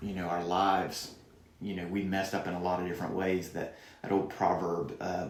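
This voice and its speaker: A man's very deep, low voice with a Southern US accent, flat monotone delivery and audible room echo. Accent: southern American. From US South. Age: 40s. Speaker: youth pastor. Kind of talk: podcast interview.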